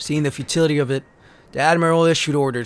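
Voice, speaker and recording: A man talks fairly quickly in a fairly high pitch. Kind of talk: dramatic story reading. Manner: dramatic.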